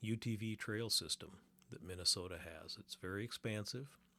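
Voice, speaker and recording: Very clean recording, silent background. A man speaks at a moderate pace with fairly even intonation. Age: 60s. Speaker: podcast host. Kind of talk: personal reflection monologue. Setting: sun porch at a lake cabin. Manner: relaxed, halting with repetitions.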